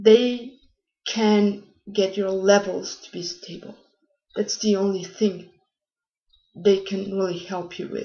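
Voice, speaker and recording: Speaking with a non-native accent, a woman talks very slowly in a medium-pitched, monotone voice with flat intonation. Her loudness swings widely, and long pauses come often. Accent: foreign. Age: young. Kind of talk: casual talk to camera.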